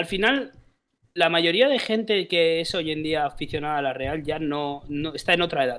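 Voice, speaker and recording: His pitch variation is ordinary. The man speaks at a fairly slow pace. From Basque Country. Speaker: football podcast host. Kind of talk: casual chat. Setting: live stream. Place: home room. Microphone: headset.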